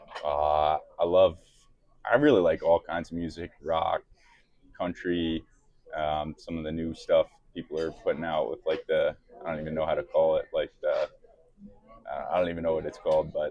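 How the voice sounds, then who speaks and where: Leaving long, frequent pauses, a man speaks with a slight New York accent. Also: moderate pace. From New York City (Bronx). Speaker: professional hockey player. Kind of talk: casual interview. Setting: restaurant.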